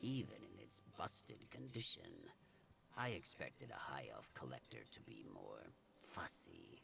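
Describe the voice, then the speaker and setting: Whispering in a put-on character voice, a man speaks at a fairly slow pace against clear background noise. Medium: video game. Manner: dry, sardonic.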